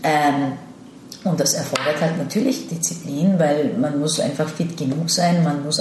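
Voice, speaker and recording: A woman speaks in a very deep, low voice at a fairly slow pace, with ordinary pitch variation. The room echo is audible, and there is noticeable background noise. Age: 30s. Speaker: actress. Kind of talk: interview. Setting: in-person meeting.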